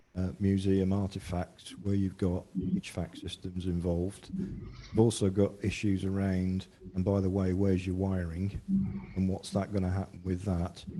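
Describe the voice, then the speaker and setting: Soft-spoken and monotone, a man with a very deep, low pitch keeps flat intonation at a moderate pace. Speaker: council staff presenting a report. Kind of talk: council meeting report presentation.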